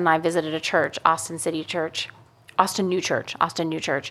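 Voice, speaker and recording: In a very clean recording with a silent background, a woman with a bright, sharp tone speaks at a fairly low pitch and a moderate pace. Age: 40s. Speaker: podcast host. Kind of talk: casual chat.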